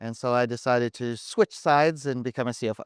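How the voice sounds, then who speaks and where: A man with a South African accent is captured in a very clean recording with a silent background and a dry, close sound with no echo. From South Africa, Durban. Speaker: CFO, former auditor. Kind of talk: casual chat. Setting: live stage at a conference.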